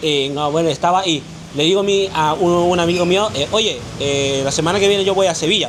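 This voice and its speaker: Speaking fairly quickly, a man uses a high pitch with ordinary variation and very even loudness. Room echo is audible, and background noise is noticeable. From Vietnam. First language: Vietnamese (speaking Spanish). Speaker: interview guest. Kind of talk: casual interview. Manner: halting, many fillers and restarts.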